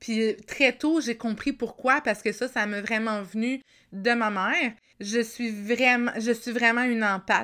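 A woman speaks with a Quebec accent, fairly high in pitch, with a bright, sharp tone and fairly even intonation. Her pace is fairly slow, in a very clean recording with a silent background. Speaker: life coach and podcaster. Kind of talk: solo storytelling podcast.

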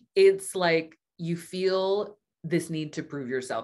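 On a very clean recording with a silent background, a woman with a Californian accent speaks with ordinary pitch variation. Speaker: astrologer and business coach. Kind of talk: interview conversation.

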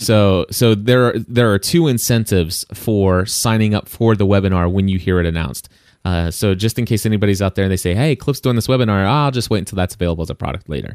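A very fast delivery with hardly any pauses and ordinary pitch variation, in a dry, close sound with no echo. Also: man, fairly low pitch for a man. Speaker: podcast host. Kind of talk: casual podcast chat.

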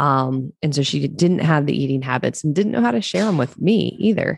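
A woman with an American accent, very deep and low in pitch, talking at a fairly quick pace. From Maryland Eastern Shore, US. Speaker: online fitness coach. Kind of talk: casual interview.

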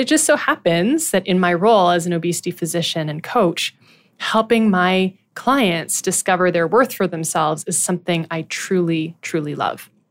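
A woman speaks in a Canadian accent with a plain, everyday voice at a medium pitch and moderate pace. Her intonation is lively, and the recording is very clean with a silent background. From Ottawa, Ontario, Canada. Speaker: physician and podcast host. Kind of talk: scripted monologue.

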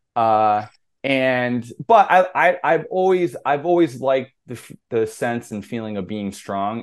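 A man with a normal speaking voice at a medium pitch and moderate pace, lively intonation, against a quiet background. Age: 40s. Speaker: strength coach. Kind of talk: casual chat.

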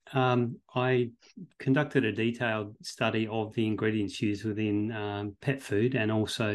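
A man's medium-pitched voice in an Australian accent, monotone and flat in intonation, against a quiet background. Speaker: veterinary professor and researcher. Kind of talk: interview.

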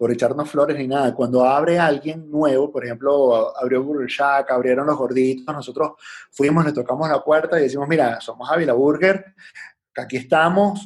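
Ordinary pitch variation and a moderate pace in a plain, everyday voice. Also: man. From Venezuela (Puerto Ordaz, Caracas). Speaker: entrepreneur, restaurant franchise founder. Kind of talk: casual interview.

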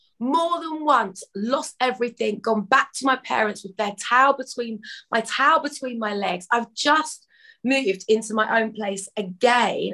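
Bright and sharp in tone, this animated voice moves at a fairly slow pace with ordinary pitch variation. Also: woman, fairly high pitch for a woman. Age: 40s. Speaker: wellness business founder. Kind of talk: casual chat.

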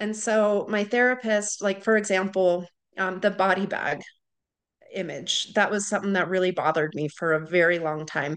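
A woman has a plain, everyday voice at medium pitch. She keeps a moderate pace with ordinary pitch variation over a quiet background. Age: 30s. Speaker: widowed mother. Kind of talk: interview.

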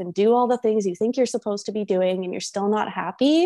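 Fairly high in pitch, a woman speaks with ordinary pitch variation and a plain, everyday voice. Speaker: confidence and manifestation coach. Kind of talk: casual interview chat.

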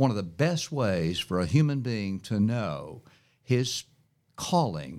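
A man with an American accent, medium in pitch and fairly slow in pace, on a very clean recording with a silent background. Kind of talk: interview. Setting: studio.

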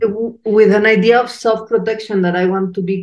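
A woman with fairly even intonation and a slightly mellow tone.

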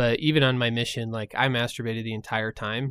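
A man's medium-pitched, plain, everyday voice at a fairly quick pace, in a very clean recording with a silent background and a dry, close sound with no echo. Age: 30s. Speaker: recovering addict, nonprofit founder. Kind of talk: testimony.

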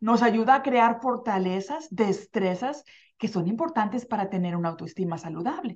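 Her pitch fairly high, a woman talks at a moderate pace with lively intonation. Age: 50s. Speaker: life coach and radio show host. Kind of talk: motivational self-help talk. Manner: warm and energetic.

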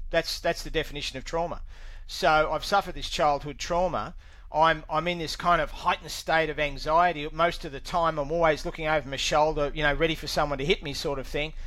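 A man with an Australian accent speaks fairly quickly in a monotone, flat intonation, his fairly high pitch carrying a bright, sharp tone. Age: 60s. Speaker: recovering alcoholic, former electronics technician. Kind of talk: interview testimony. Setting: video call.

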